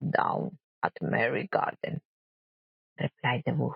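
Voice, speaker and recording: Someone with a Spanish accent speaks at a fairly slow pace. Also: woman. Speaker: storyteller. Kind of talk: reading aloud. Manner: soft-spoken.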